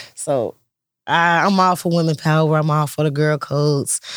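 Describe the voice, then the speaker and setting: The recording is very clean with a silent background as a man speaks at a moderate pace in a fairly high pitch with monotone, flat intonation. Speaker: guest co-host. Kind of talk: casual chat.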